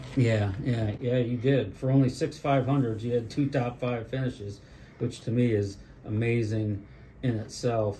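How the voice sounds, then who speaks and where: An unremarkable speaking voice from a man of medium pitch, with fairly even intonation at a moderate pace. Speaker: history video host. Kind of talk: interview questions.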